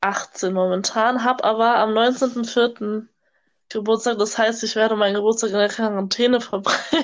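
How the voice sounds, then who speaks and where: A woman speaks at a fairly high pitch and a fairly slow pace. Her intonation is flat and monotone. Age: young. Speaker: au pair, podcast co-host. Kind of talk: casual chat. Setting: video call.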